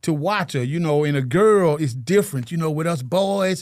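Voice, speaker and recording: A man's unremarkable speaking voice, fairly high in pitch, at a moderate pace with ordinary pitch variation, in a very clean recording with a silent background. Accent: American. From US South, Chattanooga Tennessee. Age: 60s. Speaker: single father, painter. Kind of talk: interview, casual chat.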